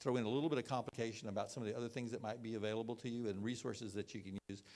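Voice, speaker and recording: A man with a Texan accent at a very fast pace. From Texas (Belleville, small town). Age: 60s. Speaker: healthcare financing expert. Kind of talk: presentation. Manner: halting, many fillers and repeats.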